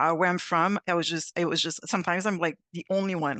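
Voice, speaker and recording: With a Quebec accent and fairly even intonation, the speaker goes at a very fast pace in a dry, close sound with no echo. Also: woman. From Quebec, Montreal. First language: French. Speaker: actuary, panelist. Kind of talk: panel discussion. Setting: video call.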